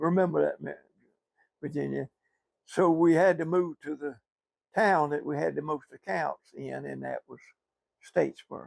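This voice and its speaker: On a very clean recording with a silent background, a man talks at a fairly slow pace. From US South, southeast Georgia. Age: 80s+. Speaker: retired businessman. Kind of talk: oral history interview.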